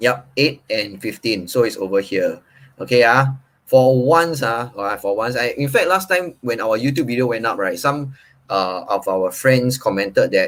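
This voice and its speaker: Speaking at a medium pitch with a Singaporean accent and lively intonation, a man comes through on a very clean recording with a silent background. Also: moderate pace. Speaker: property agent.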